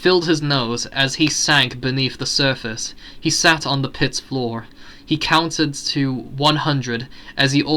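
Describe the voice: The clip is plain reading aloud, and its pitch variation is ordinary.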